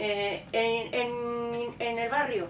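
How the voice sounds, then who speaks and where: Audible room echo surrounds a woman's voice, and noticeable background noise is present too. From Andalusia, Córdoba province. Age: 60s. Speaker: local resident sharing memories. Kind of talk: oral history interview.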